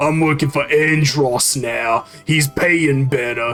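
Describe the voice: A man puts on a gruff character voice in a New Jersey accent, fairly high in pitch and fairly slow, with faint music in the background.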